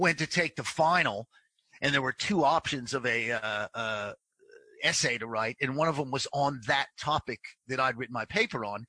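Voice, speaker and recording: A man's medium-pitched voice with a bright, sharp tone, against a quiet background. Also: ordinary pitch variation, moderate pace, dry, close sound with no echo. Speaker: comedy writer and sports broadcaster. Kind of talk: casual interview chat. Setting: video call from Melbourne.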